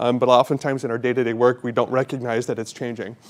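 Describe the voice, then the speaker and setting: A man speaks with an American accent. His pace is very fast. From Nebraska, US Midwest. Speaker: physician educator. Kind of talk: lecture. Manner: halting, many fillers.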